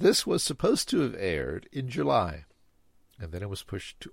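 A man's fairly low voice with vocal fry at a moderate pace, on a very clean recording with a silent background. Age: 60s. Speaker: podcast host, former Y2K consultant. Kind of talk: scripted narration.

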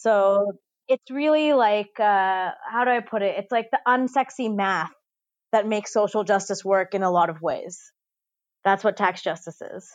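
A woman talks in an ordinary speaking voice at medium pitch with ordinary pitch variation. Her pace is moderate, and the recording is very clean with a silent background. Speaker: tax policy expert. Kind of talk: interview.

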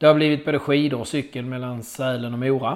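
With an unremarkable speaking voice, a man talks at a moderate pace and medium pitch, showing ordinary pitch variation. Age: 40s. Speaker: podcast host and amateur triathlete. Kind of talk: scripted monologue.

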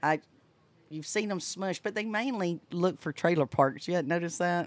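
A woman with a Southern US accent speaks at a moderate pace, fairly low in pitch, with lively intonation and long, frequent pauses. The recording is very clean, with a silent background. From US South, Florida Panhandle. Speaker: boater and RV travel vlogger. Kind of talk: casual chat. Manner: animated.

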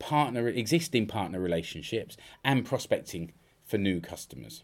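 In a British accent, a man speaks at a moderate pace and a fairly low pitch, with lively intonation. The recording is very clean against a silent background. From UK. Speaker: podcast host and freelance business consultant. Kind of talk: solo podcast monologue. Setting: home studio.

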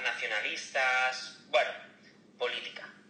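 A man talking very slowly amid noticeable background noise and audible room echo. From Barcelona, Spain. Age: 30s. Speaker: car salesman. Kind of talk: casual chat.

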